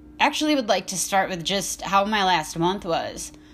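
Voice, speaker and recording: Music plays in the background. A woman talks with very wide pitch swings. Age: 20s. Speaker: podcast host in recovery. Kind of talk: casual monologue. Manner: rambling, hesitant with fillers.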